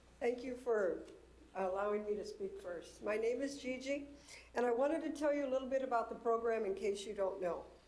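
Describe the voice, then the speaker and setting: With an American accent, a woman speaks at a high pitch and a fairly quick pace. Her intonation is lively, and the room echo is audible. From southern California. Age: 60s. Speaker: nonprofit founder for veterans. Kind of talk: presentation at a public committee meeting. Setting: city committee meeting room.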